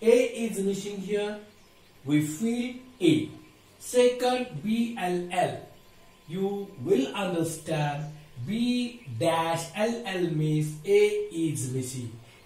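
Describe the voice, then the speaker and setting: A man with a high pitch speaks at a very slow pace, leaving long, frequent pauses. His intonation is lively, and the room echo is audible. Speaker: school teacher. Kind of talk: lecture. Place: classroom.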